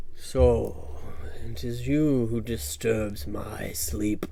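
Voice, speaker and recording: A man uses a booming, put-on character voice at a very slow pace. Clear background noise sits behind him. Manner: menacing, threatening.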